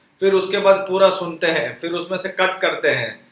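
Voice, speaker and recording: A high-pitched man talks at a moderate pace. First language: Gujarati or Kutchi (speaking Hindi). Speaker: religious YouTuber. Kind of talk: informal religious talk. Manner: conversational.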